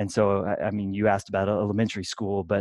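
A man talks at a fairly quick pace with a fairly low pitch. The sound is dry with no echo, and the background is quiet. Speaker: podcast guest. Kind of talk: interview answer. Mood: reflective, occasional laughs. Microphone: video call.

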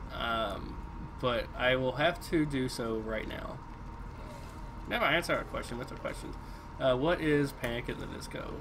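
Amid noticeable background noise, a man speaks at a moderate pace with fairly even intonation and long, frequent pauses. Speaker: gaming live streamer. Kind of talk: let's play live stream commentary. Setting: home streaming setup. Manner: casual, halting with frequent fillers. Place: home room.

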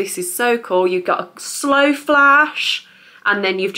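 A woman speaks at a fairly slow pace in a bright, sharp tone with lively intonation. The background is quiet. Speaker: haul vlogger. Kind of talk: casual vlog chat. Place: home room. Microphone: camera far.

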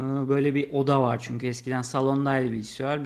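This is a man speaking. His voice is fairly high. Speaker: gaming youtuber. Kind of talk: casual chat. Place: home room. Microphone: studio mic.

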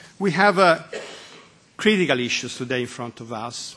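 A man's pitch varies in an ordinary way at a moderate speaking pace. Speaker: speaker. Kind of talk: formal address to committee. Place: meeting room. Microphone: podium.

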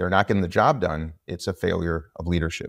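Against a quiet background, the words come out at a fairly quick clip. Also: man. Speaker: politician guest. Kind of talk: interview answer. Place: home room. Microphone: video call.

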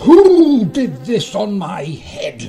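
A man puts on a character voice, pitched high with very wide swings, speaking very slowly in a dark, mellow tone, with audible room echo.

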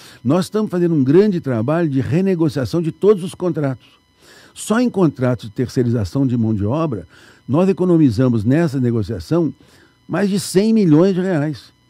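The tone is dark and mellow, with very wide pitch swings. The sound is dry with no echo over a quiet background. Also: man, fairly high pitch for a man, moderate pace. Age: 70s. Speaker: municipal finance secretary; guest. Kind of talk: radio interview. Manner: halting. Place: studio. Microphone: studio mic.

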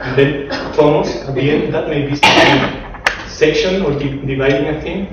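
Loud background noise fills the clip. There is audible room echo as well. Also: man. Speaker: speaker. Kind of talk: lecture. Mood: relaxed, self-amused. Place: classroom.

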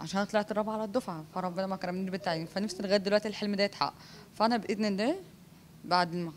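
A woman's voice comes through with some light noise in the background. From Egypt. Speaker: PE teacher and master's graduate raised in an orphanage; interviewee. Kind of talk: interview testimony. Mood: warm, grateful. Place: home room. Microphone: handheld.

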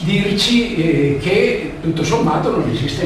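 A high-pitched male voice amid strong room echo and light background noise. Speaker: lecturer. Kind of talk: lecture. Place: hall. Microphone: camera far.

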